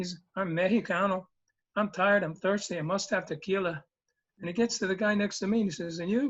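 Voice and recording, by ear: The reading aloud is in a natural voice with fairly even intonation. The background is quiet.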